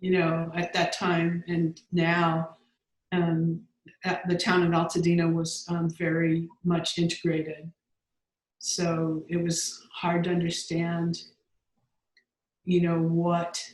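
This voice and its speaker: A woman with an American accent speaks very slowly, with long, frequent pauses. Her somewhat breathy, fairly low voice stays monotone and flat at a very even loudness. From Southern California, Los Angeles. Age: 60s. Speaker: grant researcher and writer. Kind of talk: casual interview. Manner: halting, many fillers.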